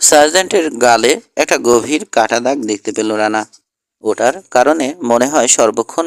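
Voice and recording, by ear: The natural voice reading aloud comes over a quiet background.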